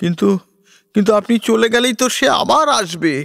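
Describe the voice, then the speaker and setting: A put-on character voice at a moderate pace and fairly high pitch. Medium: read story. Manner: nervous, stammering.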